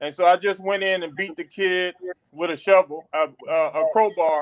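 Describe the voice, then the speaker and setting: Here a man speaks with a Louisiana accent in a high pitch. His pace is moderate and his pitch variation ordinary. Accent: Southern US (Louisiana). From Louisiana, US South. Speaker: military chaplain. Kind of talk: testimony.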